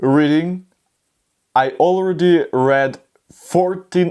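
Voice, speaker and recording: Very slow speech with a non-native accent, on a very clean recording with a silent background. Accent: non-native English learner. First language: not English. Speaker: YouTuber learning English. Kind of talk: vlog, answering questions on camera. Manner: halting, with many restarts.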